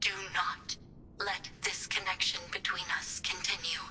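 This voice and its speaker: This is a put-on character voice delivered as a whisper. The pace is fairly slow. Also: female-sounding voice. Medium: video game. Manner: calm, formal, measured.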